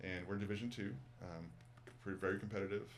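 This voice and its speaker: Speaking at a very fast pace with an American accent, a man uses a very deep, low voice with vocal fry, and the room echo is audible. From Massachusetts, outside Boston. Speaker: former college basketball coach, yoga teacher. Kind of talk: casual interview chat. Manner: animated, repetitive with fillers.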